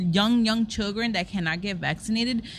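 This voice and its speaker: In a quiet setting, a woman speaks at a medium pitch with a somewhat breathy voice and ordinary pitch variation. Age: 20s. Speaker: podcast co-host. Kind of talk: casual chat.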